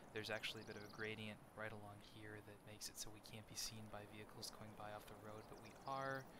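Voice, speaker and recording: Quiet and fairly low-pitched, a man speaks in a monotone, flat intonation. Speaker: gamer. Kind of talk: let's play commentary.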